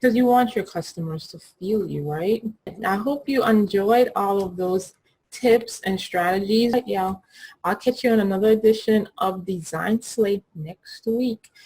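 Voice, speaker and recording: A woman with a Caribbean accent speaks at a fairly slow pace in a somewhat breathy, dark and mellow voice of medium pitch, her loudness swinging widely while her pitch varies in an ordinary way. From Caribbean, US Virgin Islands (Saint Thomas). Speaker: graphic designer and brand coach. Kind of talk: tutorial. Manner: casual, conversational.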